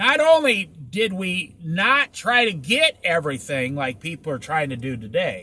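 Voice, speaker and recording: A man speaks at a fairly slow pace with hardly any pauses. His voice is high in pitch with very wide swings and a bright, sharp tone. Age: 60s. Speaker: Bible teacher. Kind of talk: casual Bible study talk. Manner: conversational.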